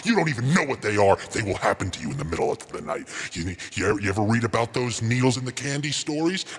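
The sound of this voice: Using a put-on character voice with a menacing tone, a man speaks at a very fast pace in medium pitch over clear background noise.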